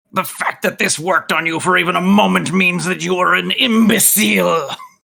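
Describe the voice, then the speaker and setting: Putting on a character voice, a man talks at a fairly quick pace with a high pitch. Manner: vicious, insulting.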